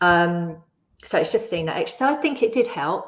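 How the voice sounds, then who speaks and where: The pace is moderate. It is a normal speaking voice. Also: woman. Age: 50s. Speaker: yoga student with scoliosis, mother. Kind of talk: casual interview. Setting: video call.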